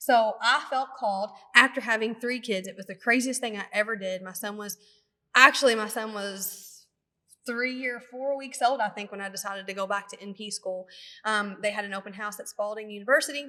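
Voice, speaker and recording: In a strong Kentucky accent, a woman talks at a fairly quick pace with a fairly high pitch, a bright, sharp tone, fairly even intonation, and big swings in loudness. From Kentucky, near Louisville. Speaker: nurse practitioner and podcast co-host. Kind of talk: casual chat.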